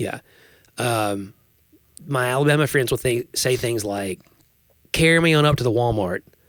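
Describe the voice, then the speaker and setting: A man with a Tennessee accent at a medium pitch, with ordinary pitch variation, a moderate pace and long, frequent pauses, in a very clean recording with a silent background and a dry, close sound with no echo. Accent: Southern US (Tennessee). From Tennessee, US South. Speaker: podcast host. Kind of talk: casual chat.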